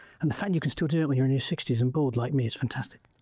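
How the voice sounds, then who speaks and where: Ordinary pitch variation in a somewhat breathy male voice of dark, mellow tone. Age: 60s. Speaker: entrepreneur and investor. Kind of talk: interview conversation. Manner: halting, many fillers.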